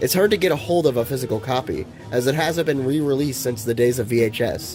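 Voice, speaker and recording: Music plays in the background as a man talks. His pace is fairly quick and his intonation lively. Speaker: movie reviewer. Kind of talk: video essay narration.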